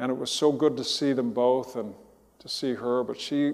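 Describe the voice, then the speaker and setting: Audible room echo surrounds a man speaking with an American accent at a medium pitch. His pace is moderate and his intonation monotone and flat. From Southern California. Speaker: pastor. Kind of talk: sermon.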